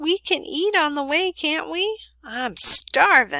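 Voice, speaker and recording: Putting on a squeaky character voice, a woman speaks high-pitched and fairly slowly, recorded dry and close with no echo. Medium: read story. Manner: lively, enthusiastic.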